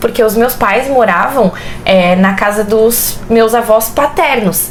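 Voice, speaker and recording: Over noticeable background noise, a woman with a fairly high pitch speaks amid audible room echo. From Brusque, Santa Catarina, southern Brazil. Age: 20s. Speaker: pedagogy student and mother. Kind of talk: interview, casual chat. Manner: talkative.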